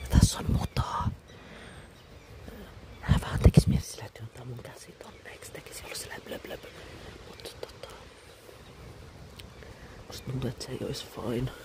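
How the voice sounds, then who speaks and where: Whispering at a moderate pace in a relaxed tone, the speaker leaves long, frequent pauses over noticeable background noise. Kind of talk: ASMR soft-spoken talk with tapping and scratching, casual chatter. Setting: outdoors in a forest, cool windy weather. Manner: soft-spoken, close whisper, relaxed.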